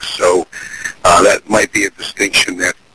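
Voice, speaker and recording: This man talks at a fairly quick pace. Background noise is noticeable behind him. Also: dry, close sound with no echo. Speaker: business owner and marketing expert. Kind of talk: teleseminar interview.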